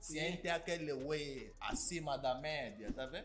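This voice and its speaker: A man speaks with an Angolan accent. Clear music plays in the background. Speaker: YouTuber. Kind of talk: casual talk to camera. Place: home room.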